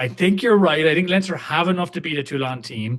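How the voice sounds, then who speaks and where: A man in an Irish accent with lively intonation. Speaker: rugby podcast host. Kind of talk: casual chat. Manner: animated.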